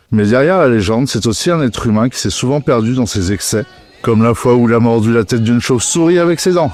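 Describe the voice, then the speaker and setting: Fairly quick speech with music in the background. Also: man. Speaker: metal music podcast host. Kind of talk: scripted podcast narration.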